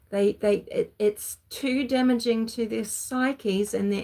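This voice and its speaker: A woman's voice in a New Zealand accent, very slow, with ordinary pitch variation. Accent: Kiwi. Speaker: true crime commentator. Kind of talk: livestream commentary. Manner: halting.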